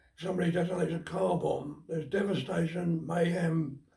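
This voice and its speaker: This man with a British accent has a high pitch and a dark, mellow tone. His intonation is monotone and flat. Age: 90s. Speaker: war veteran. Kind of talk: testimony. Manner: halting.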